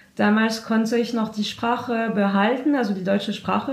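Over noticeable background noise and audible room echo, a woman speaks at a moderate pace with a fairly high pitch and fairly even intonation. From France. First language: French (speaking German). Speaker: volunteer at a francophone newcomers' association. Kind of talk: interview. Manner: halting, many hesitations.

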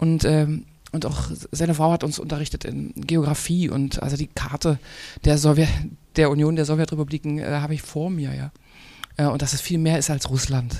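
A woman speaks at a moderate pace with a very deep, low pitch. Her tone is dark and mellow, in a monotone, flat intonation. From Brandenburg, eastern Germany. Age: 40s. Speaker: author and singer. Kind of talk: panel discussion. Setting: stage with audience.

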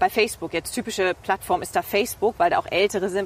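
A woman speaks at a very fast pace. Her pitch is medium, with ordinary variation. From East Frisia, northern Germany. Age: 30s. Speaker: TV presenter and reporter. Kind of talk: casual interview. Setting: outdoors, walking in a city park.

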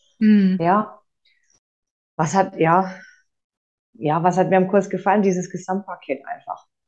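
Long, frequent pauses break up this woman's fairly slow speech. Her voice sits at a medium pitch with fairly even intonation. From Franconia, Germany. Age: 30s. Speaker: course participant, single mother. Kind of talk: interview testimony. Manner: hesitant, many filler sounds.

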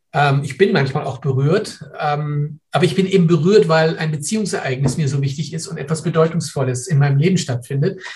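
Hardly pausing, a man with a fairly high pitch speaks at a fairly quick pace with ordinary pitch variation. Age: 60s. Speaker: professor and physician. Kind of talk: interview. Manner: hesitant, many fillers.

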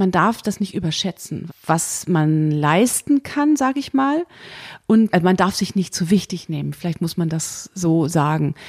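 A woman speaks in an unremarkable speaking voice with a fairly low pitch. Her intonation is lively, her pace fairly slow. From Germany, Bonn. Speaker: jazz pianist and composer. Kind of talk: interview.

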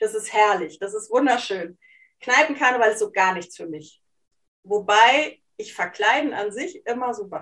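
At a moderate pace, a woman with a normal speaking voice and fairly high pitch uses lively intonation, with big swings in loudness. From Hesse and East Frisia, Germany. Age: 40s. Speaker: life coach and journalist. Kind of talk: casual interview conversation.

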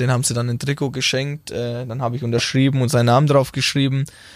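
In a Franconian accent, a man speaks at medium pitch with monotone, flat intonation. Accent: Franconian, rolled R. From Franconia, Bavaria (Middle Franconia). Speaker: futsal player, national team captain. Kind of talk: casual interview. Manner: hesitant with many fillers.

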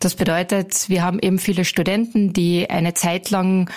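A woman with a medium pitch speaks at a moderate pace in a somewhat breathy voice. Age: 30s. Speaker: call centre team leader. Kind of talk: interview.

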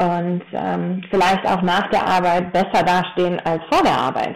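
A woman's fairly low voice moves along at a moderate pace. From Taunus, Hesse, Germany. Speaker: horse trainer and equine osteopath. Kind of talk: podcast interview. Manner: hesitant with many fillers.

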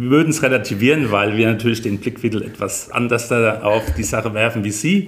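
Over noticeable background noise, a man speaks at a fairly quick pace and medium pitch, with ordinary pitch variation. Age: 50s. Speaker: head of emergency dispatch centre, fire service officer. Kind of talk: interview, explaining work.

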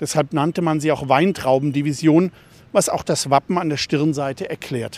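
A man with a normal speaking voice talks at a moderate pace and fairly high pitch, with fairly even intonation. The recording is very clean, dry and close, with no echo and a silent background. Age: 60s. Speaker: newspaper journalist and local history author. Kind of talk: audio walking tour narration.

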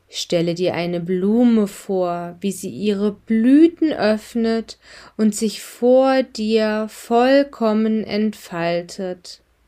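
At a very slow pace, a woman with a fairly high pitch speaks in a calm, soothing tone with ordinary pitch variation. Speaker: meditation guide. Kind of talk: guided meditation. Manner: slow, calm, soothing; soft-spoken, gentle, unhurried with long pauses.

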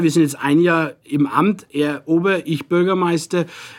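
A man with a strong Franconian accent, high pitch and fairly even intonation at a moderate pace. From Franconia, Nuremberg. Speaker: deputy mayor, politician. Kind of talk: casual interview chat in dialect.

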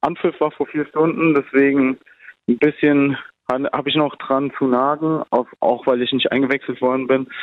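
At a moderate pace, a man with a fairly high voice speaks in a monotone, flat intonation. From Germany. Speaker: amateur footballer, national team player. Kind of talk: interview.

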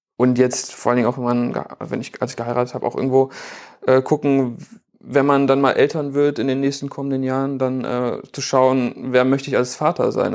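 At a fairly quick pace, a man speaks with a medium pitch and monotone, flat intonation. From Germany, Bielefeld. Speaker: photographer and filmmaker. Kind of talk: casual interview.

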